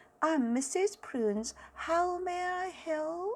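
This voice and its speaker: A woman does a put-on, squeaky character voice at an extremely high pitch. She speaks at a very slow pace. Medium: read story. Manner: excitable, dramatic.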